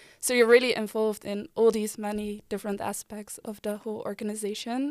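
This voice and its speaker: At a fairly quick pace, a woman with a fairly high pitch and a Dutch accent talks in a monotone, flat intonation, on a very clean recording with a silent background and a dry, close sound with no echo. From Netherlands (Delft). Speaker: former student board member. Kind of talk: casual chat.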